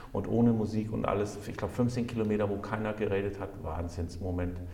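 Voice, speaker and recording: A medium-pitched man talks at a fairly quick pace, with audible room echo and noticeable background noise. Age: 40s. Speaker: mayor. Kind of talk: casual interview chat. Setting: town hall.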